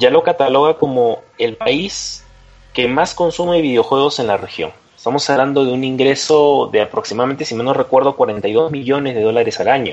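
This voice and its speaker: The man has a fairly high pitch and ordinary pitch variation. He speaks at a fairly slow pace. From Peru. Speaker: video game lawyer. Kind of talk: panel discussion.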